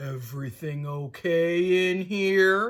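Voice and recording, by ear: A gruff, put-on character voice sits at a middle pitch. It moves at a very slow pace.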